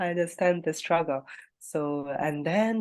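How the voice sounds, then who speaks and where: A woman speaks with a Malagasy accent at a fairly slow pace. The background is quiet. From Madagascar. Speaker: English learner. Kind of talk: casual chat. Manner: hesitant, many fillers.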